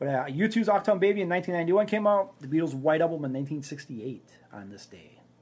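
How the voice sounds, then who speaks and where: A very fast, lively man with a Minnesotan accent, high-pitched, his loudness swinging sharply. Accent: Minnesota. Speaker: sports podcast co-host. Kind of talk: casual chat.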